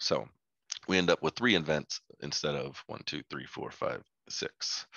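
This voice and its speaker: Speaking at a fairly slow pace, a man uses lively intonation and vocal fry. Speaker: health data analyst presenter. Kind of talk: technical presentation. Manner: halting, many fillers.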